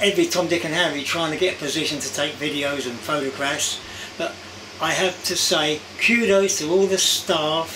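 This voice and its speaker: A man talks at a moderate pace with ordinary pitch variation, and noticeable background noise can be heard. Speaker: vlogger. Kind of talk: casual vlog chat. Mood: warm, enthusiastic. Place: home room.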